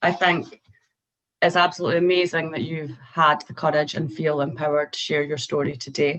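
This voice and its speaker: In a Scottish accent, a woman with a very deep, low pitch talks at a fairly quick pace with fairly even intonation. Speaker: mental health professional. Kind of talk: educational talk to students.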